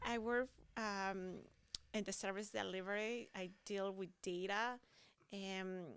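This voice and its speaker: Fairly even in intonation, a woman speaks at a medium pitch with a Spanish accent. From Peru, small Amazon town. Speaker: water utility data administrator. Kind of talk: interview. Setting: conference expo.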